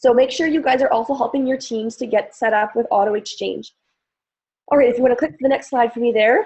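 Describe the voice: A woman performs a put-on character voice, hoarse and high in pitch. She speaks at a very fast pace with ordinary pitch variation.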